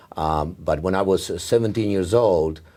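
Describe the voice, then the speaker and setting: At a moderate pace, a man with a Czech accent speaks in a dark, mellow tone with ordinary pitch variation. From Czechoslovakia. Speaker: neurologist. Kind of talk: oral history interview. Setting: medical congress. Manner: halting, many fillers.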